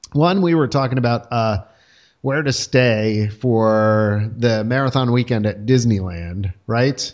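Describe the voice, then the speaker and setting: At a very slow pace, a man speaks at a medium pitch with very even loudness. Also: ordinary pitch variation, quiet background. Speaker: podcast host. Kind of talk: casual chat. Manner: animated, joking.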